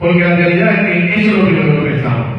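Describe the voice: A man talks at a very fast pace in a high voice with lively intonation. Strong room echo surrounds him.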